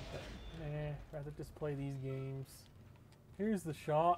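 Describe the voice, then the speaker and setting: A man speaks at a fairly slow pace. His voice is fairly high in pitch and somewhat breathy. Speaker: gaming youtuber. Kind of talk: let's play commentary. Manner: casual, rambling thinking aloud.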